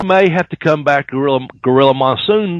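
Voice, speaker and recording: A man with a fairly high pitch talks at a fairly quick pace in a normal speaking voice. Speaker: podcast host. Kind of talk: podcast discussion.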